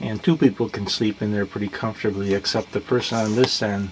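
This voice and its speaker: An ordinary speaking voice from a man, moderate pace and ordinary pitch variation, with light background noise. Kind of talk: casual tour narration. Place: boat. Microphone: phone near.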